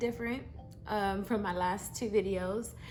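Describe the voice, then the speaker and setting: A woman's moderately paced speech, its pitch varying in an ordinary way, comes over background music. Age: 30s. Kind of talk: casual story time talk to camera. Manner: casual, conversational, with many fillers.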